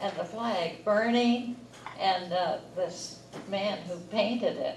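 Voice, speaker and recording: Heard with audible room echo and noticeable background noise, the speaker talks at a fairly slow pace with ordinary pitch variation. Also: woman. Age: 80s+. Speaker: audience member. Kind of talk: audience comment.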